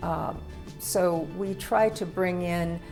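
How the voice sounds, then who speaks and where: Music plays behind a woman's voice. Her intonation stays fairly even. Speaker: arts center director. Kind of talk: interview answer.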